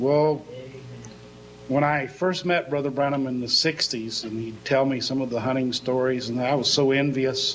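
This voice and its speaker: Over background music and audible room echo, a man at medium pitch speaks at a moderate pace with fairly even intonation. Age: 60s. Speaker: pastor. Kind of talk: sermon.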